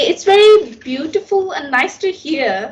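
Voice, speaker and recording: A woman with an American accent, very slow pace and lively intonation. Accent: learned American-style. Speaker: English learner, vlogger. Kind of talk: interview.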